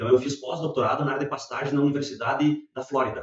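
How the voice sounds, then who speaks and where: Speaking at a fairly quick pace, a man with a southern Brazilian accent has a fairly high pitch. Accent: gaúcho. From southern Brazil, Rio Grande do Sul (Santana do Livramento, Uruguay border). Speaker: professor of agronomy. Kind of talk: interview.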